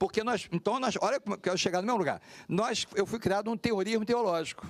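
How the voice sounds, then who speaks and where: Here a man speaks at a very fast pace in a high voice. The loudness stays very even, and the sound is dry and close with no echo. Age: 60s. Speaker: pastor. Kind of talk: panel discussion.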